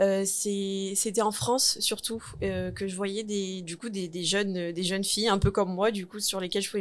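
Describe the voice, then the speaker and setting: A woman's medium-pitched voice with fairly even intonation, against noticeable background noise. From New Caledonia. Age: 20s. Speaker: entrepreneur, cosmetics shop owner. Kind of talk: interview. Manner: hesitant, many fillers.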